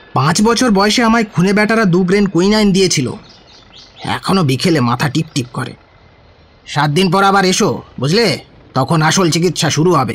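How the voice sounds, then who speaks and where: In a gruff, put-on character voice, a man speaks at a moderate pace. His intonation is lively. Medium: audio drama. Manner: gruff, sarcastic, bossy.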